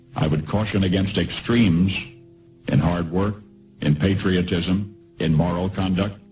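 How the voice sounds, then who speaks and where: With music in the background, a man with a very deep, low pitch speaks at a fairly slow pace, his loudness very even and his intonation fairly even. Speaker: radio broadcaster. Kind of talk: radio commentary broadcast.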